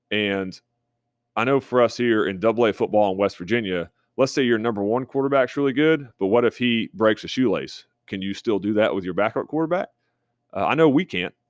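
Fairly quick speech from a man, with ordinary pitch variation. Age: 30s. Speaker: high school football coach. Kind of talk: coaching tutorial. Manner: halting, many filler uhs.

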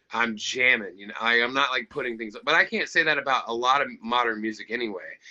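A man with an American accent, a normal speaking voice, talks at a medium pitch and fairly quick pace with ordinary pitch variation. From US South. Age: 30s. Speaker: rock musician. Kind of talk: casual chat.

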